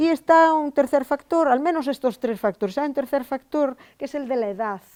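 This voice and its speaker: At a moderate pace and with lively intonation, a woman is heard on a very clean recording with a silent background and a dry, close sound with no echo. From Spain, Galicia (Val de Monterrey, Ourense). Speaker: linguistics professor. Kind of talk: lecture. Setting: lecture hall with audience. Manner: conversational, with frequent fillers.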